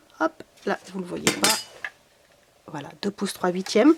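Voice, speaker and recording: A woman speaks in a warm tone with a southern French accent. There is noticeable background noise. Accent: southern French accent, stronger today. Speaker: craft tutorial maker and product seller. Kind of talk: tutorial. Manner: warm and chatty.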